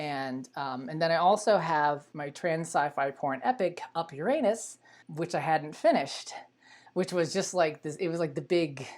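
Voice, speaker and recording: A woman with a normal speaking voice and an American accent talks at a moderate pace. Her fairly low pitch shows ordinary pitch variation. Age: 40s. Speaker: adult film performer and filmmaker. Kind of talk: casual live stream talk. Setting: live online stream.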